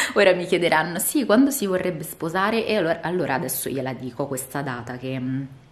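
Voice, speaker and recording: Her pitch sits fairly low as this woman talks. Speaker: vlogger. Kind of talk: casual vlog monologue. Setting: outdoors. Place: home room. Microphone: phone near.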